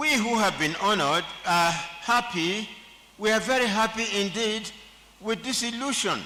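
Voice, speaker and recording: A man speaks in a raised, projected voice with a high pitch and ordinary pitch variation. His pace is fairly slow, and there is noticeable background noise. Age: 70s. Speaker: honorary degree recipient, senior lawyer. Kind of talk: acceptance speech. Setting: convocation ceremony. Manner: formal.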